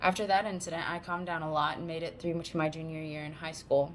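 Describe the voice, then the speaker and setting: Speaking very fast with an American accent, a woman uses a fairly low pitch and monotone, flat intonation. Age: 30s. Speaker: college student. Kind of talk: class speech.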